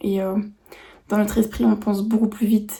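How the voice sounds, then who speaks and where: Here a woman talks at a moderate pace in a monotone, flat intonation. Her fairly high voice has a dark, mellow tone and is somewhat breathy. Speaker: vlogger. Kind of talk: vlog monologue. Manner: hesitant, many fillers.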